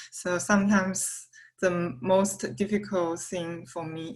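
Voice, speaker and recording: With a Chinese accent, a woman speaks in a fairly low voice with fairly even intonation. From China. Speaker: student. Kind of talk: class introduction. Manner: halting.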